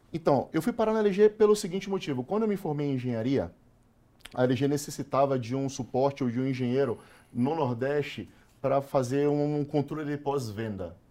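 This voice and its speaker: A man with a dark, mellow tone speaks at a fairly high pitch and moderate pace with lively intonation. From Salvador, Bahia, Brazil. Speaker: corporate sales manager. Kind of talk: casual interview chat. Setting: studio.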